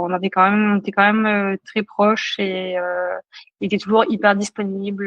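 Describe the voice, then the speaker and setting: A woman's voice with monotone, flat intonation. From Mauritius. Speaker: trail runner, elite athlete. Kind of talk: interview answer.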